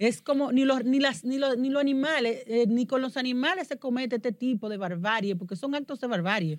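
Her pitch high, a woman speaks at a fairly quick pace with lively intonation and hardly any pauses. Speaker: podcast host. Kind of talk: news commentary chat.

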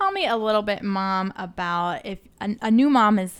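At a fairly slow pace, a woman with a normal speaking voice and fairly high pitch talks with ordinary pitch variation in a very clean recording with a silent background. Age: 30s. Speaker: podcast host. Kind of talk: casual interview.

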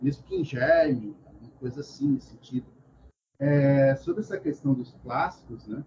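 At a moderate pace, a man speaks with a fairly high pitch, a dark, mellow tone, a somewhat breathy quality, ordinary pitch variation and big swings in loudness. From Brazil, interior of São Paulo (Bauru). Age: 40s. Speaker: psychologist. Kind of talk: casual interview chat. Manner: hesitant, many fillers.

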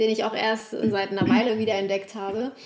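Over noticeable background noise, a woman speaks fairly quickly in a fairly high pitch. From Italy, then Germany from age eight. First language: Italian (speaking German). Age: young. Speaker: relationship coach. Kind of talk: interview, life story. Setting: at home on the couch.

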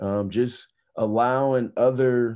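A man talks with a dark, mellow tone and a monotone, flat intonation, with an American accent. The background is quiet. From US Midwest, inner-city Indianapolis. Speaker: former professional athlete. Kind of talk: casual interview chat.

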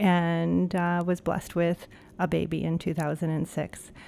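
With an American accent and a normal speaking voice, a woman talks at a fairly low pitch with fairly even intonation, on a very clean recording with a silent background. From Ohio, Cleveland. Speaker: business founder. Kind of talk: interview.

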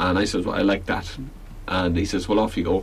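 With a Belfast accent, a man with a very deep, low pitch speaks fairly quickly in a flat monotone, with audible room echo around him. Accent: Belfast Northern Irish. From Northern Ireland, Belfast. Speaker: folk musician. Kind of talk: casual radio interview. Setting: radio studio.

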